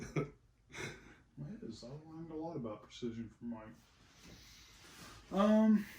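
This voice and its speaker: Soft-spoken and at a moderate pace, a man talks with very wide pitch swings and long, frequent pauses. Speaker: musician recording a cover song. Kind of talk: casual studio tutorial chat. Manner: quiet, asked to speak up.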